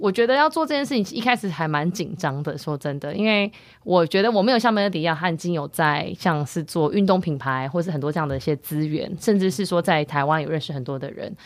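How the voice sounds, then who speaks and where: Fairly low in pitch, a woman talks at a very fast pace. Her intonation is lively. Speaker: podcast co-host, wellness startup co-founder. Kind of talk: casual chat.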